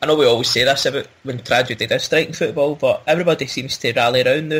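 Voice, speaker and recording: A man with a Glasgow accent and a fairly high pitch talks at a fairly quick pace with ordinary pitch variation. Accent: Scottish (Glasgow area). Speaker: football podcast host. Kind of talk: casual chat.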